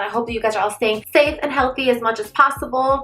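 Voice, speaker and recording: A woman talks in a high voice, with noticeable background noise behind her. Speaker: beauty vlogger. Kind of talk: casual chat. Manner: fast; animated.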